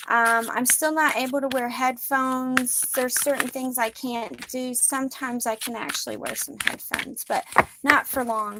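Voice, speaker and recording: Over noticeable background noise, a woman speaks at a moderate pace in a raised, projected, high-pitched voice with fairly even intonation. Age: 40s. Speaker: spiritual card reader. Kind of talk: tarot-style guided reading monologue. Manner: sometimes loud; irregular pauses and rising volume.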